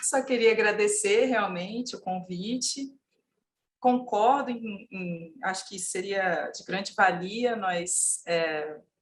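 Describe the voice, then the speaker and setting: Speaking at a very slow pace, a woman with a medium pitch and a somewhat breathy voice shows ordinary pitch variation and big swings in loudness. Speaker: legal consultant. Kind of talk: panel discussion. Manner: halting, many fillers.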